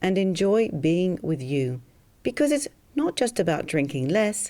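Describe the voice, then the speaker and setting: Swinging very widely in pitch, a woman with an Australian accent speaks at a moderate pace in a fairly low pitch and a dark, mellow tone. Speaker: hypnotherapist selling a program. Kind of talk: sales pitch.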